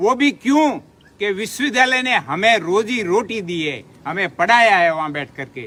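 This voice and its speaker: A raised, projected voice with a bright, sharp tone swings very widely in pitch. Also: man, high pitch for a man. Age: 70s. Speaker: retired university employee, protest leader. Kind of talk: public speech.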